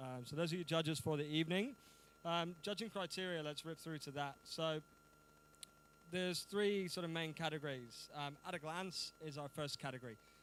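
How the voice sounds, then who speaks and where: A man's fairly high voice with a British accent and ordinary pitch variation. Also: moderate pace. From United Kingdom. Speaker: event host and compere. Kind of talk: live event hosting. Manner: casual, animated.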